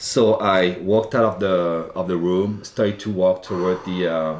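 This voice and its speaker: A man speaks with a slight French accent at a very deep, low pitch. His pace is moderate and his intonation fairly even. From France, Loire Valley. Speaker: wine buyer. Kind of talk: interview storytelling. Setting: live in-person show in Napa Valley.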